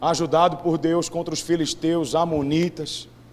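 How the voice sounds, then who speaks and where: A man speaks at a fairly high pitch. There is audible room echo. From Brazilian Northeast. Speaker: preacher. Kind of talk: sermon.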